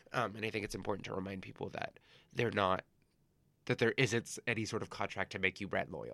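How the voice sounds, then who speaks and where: A man with a Californian accent and a fairly low pitch talks at a very fast pace with fairly even intonation. The recording is very clean with a silent background, and the sound is dry and close with no echo. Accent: Californian American English. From Los Angeles, California (San Gabriel Valley). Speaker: event organizer, flea market founder. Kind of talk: casual interview.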